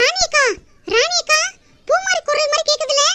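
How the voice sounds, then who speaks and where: A squeaky, cartoonish character voice from a woman, extremely high in pitch with very wide pitch swings, at a fairly slow pace. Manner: calm, comforting.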